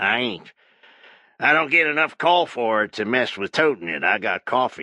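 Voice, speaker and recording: With a dry, close sound and no echo, a man uses a raspy put-on character voice at medium pitch and a moderate pace, his pitch swinging very widely. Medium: read story. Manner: folksy, cunning.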